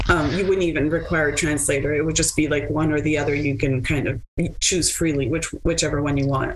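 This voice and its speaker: The speech comes at a fairly quick pace with a slight French Canadian accent. The intonation is monotone and flat, and the loudness stays very even. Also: woman, very deep, low pitch for a woman. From Quebec, Montreal. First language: French and Italian. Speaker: lawyer. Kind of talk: interview.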